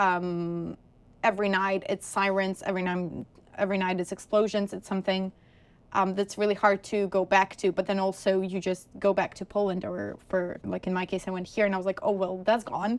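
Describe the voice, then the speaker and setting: A woman talks at a moderate pace with a medium pitch. Her intonation stays monotone and flat. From Ukraine. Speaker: graduate student. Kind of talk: oral history interview answer.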